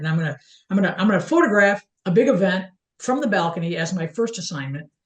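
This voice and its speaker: With an American accent, a woman talks in a somewhat breathy voice with lively intonation. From small-town US. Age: 60s. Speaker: photographer. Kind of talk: casual interview. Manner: halting, many repetitions.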